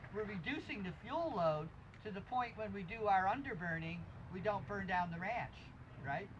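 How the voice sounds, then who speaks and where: Someone speaks with an American accent at a moderate pace. Noticeable background noise runs under the voice. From US Northeast, upper Hudson Valley, New York. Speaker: permaculture teacher. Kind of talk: workshop lecture.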